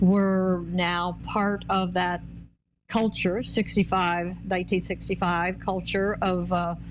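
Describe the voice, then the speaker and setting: At a very slow pace, a woman with an American accent keeps her loudness very even. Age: 80s+. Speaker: pro-life activist. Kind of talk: testimony. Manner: halting, many fillers.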